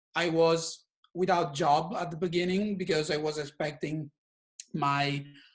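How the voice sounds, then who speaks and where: The speaker has an Italian accent. The intonation stays fairly even. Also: man. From Italy. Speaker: filmmaker. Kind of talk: community meeting presentation. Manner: halting.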